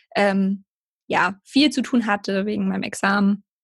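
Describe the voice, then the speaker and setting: A woman's voice comes through fairly high-pitched and somewhat breathy. The recording is very clean, with a silent background. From southern Germany, near Heidelberg. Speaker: personal trainer and yoga teacher. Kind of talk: casual interview.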